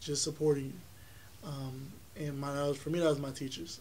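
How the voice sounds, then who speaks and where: Flat and monotone, the somewhat breathy voice has a dark, mellow tone, with audible room echo. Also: man. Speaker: college music student and festival founder. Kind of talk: interview.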